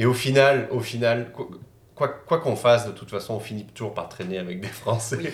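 Amid audible room echo, a man speaks fairly quickly at medium pitch, with ordinary pitch variation and big swings in loudness. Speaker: YouTuber. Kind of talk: casual chat.

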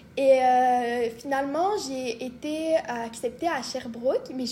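A woman talks at a high pitch with ordinary pitch variation. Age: 20s. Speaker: medical student. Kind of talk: casual chat.

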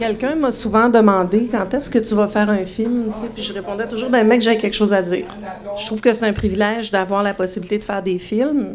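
A woman's fairly high voice at a fairly quick pace, with fairly even intonation over noticeable background noise. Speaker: filmmaker and dancer. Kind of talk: interview. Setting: live show before audience in a bar.

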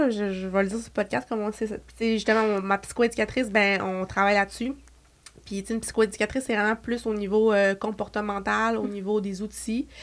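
Her medium pitch and moderate pace mark this woman's plain, everyday voice. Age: 20s. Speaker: beauty entrepreneur. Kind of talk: casual chat.

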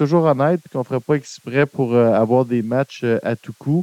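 A man with a dark, mellow tone speaks at a moderate pace and a fairly high pitch with ordinary variation. The sound is dry and close, with no echo. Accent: Quebec. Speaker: film podcast host. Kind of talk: casual chat. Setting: live stream.

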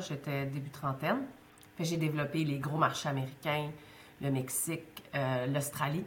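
Audible room echo surrounds speech delivered in a flat monotone at a moderate speed. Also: woman. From Quebec, Côte-Nord. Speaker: business school director. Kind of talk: interview conversation.

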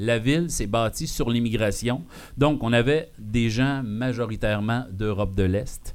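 Audible room echo surrounds a man speaking at a fairly slow pace and a medium pitch, with ordinary pitch variation and very even loudness. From Quebec, Abitibi-Témiscamingue. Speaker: podcast host. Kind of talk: live show with audience. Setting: bar with live audience. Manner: animated.

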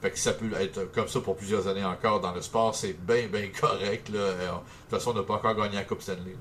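In a plain, everyday voice, a man talks at a moderate pace with fairly low pitch and fairly even intonation. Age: 30s. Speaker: sports radio morning host. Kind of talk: interview.

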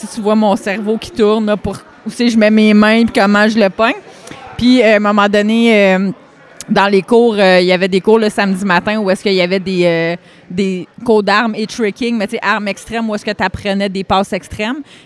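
Noticeable background noise sits behind a woman speaking at a moderate pace. Her medium-pitched voice is flat and monotone. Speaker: karate school owner and competitor. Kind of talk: casual interview chat. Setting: at world championships in Ireland.

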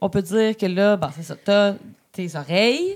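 A woman speaks at medium pitch. Her pace is very slow. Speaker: podcast co-host. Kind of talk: casual chat.

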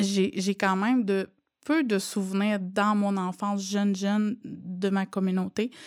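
Very slow, fairly even intonation on a very clean recording with a silent background. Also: woman, medium pitch for a woman. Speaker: student and mother. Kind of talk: testimony.

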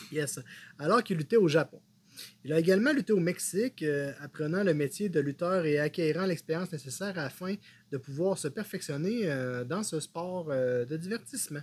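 Pitched high, a man's voice moves at a moderate pace with ordinary pitch variation. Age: 30s. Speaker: wrestling podcast co-host. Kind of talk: casual chat.

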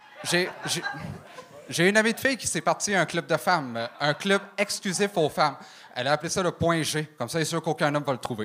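Lively intonation from a man with a fairly high voice, with noticeable background noise. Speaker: comedian. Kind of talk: stand-up. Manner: fast one-liners.

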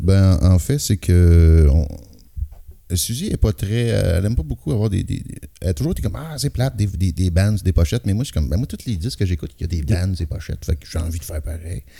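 With a very deep, low pitch and a dark, mellow tone, a somewhat breathy man talks at a fairly quick pace with lively intonation. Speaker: rock singer and guitarist. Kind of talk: casual chat.

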